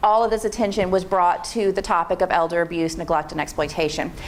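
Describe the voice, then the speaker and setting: A woman with an American accent uses lively intonation as noticeable background noise plays behind her. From Pennsylvania. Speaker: state aging agency program manager. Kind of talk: presentation to an audience. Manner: fast; informal.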